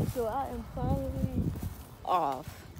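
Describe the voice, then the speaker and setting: A woman's voice sounds dry with no echo against loud background noise. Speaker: vlogger. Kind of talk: casual vlog chat. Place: street. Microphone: phone near.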